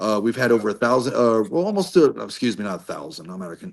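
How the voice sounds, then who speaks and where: A man speaks with a slight Southern US accent. His pitch sits in the medium range. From US South. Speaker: army veteran and author. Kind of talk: podcast interview. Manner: casual.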